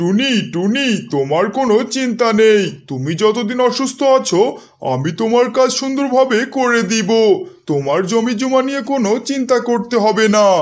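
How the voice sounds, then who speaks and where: A man's cartoonish character voice, extremely high in pitch, at a moderate pace. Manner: sly, self-praising.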